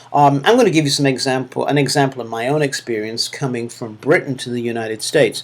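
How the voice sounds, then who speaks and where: A man talks at a very fast clip, with hardly any pauses. His pitch rises and falls in an ordinary way. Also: medium pitch for a man. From northern England, Manchester. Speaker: university lecturer. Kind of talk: recorded course feedback lecture. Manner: halting, many fillers.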